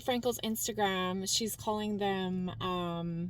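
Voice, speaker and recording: The recording of this woman is very clean, with a silent background. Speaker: social media commentator. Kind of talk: casual vlog commentary. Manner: rambling, filler-heavy.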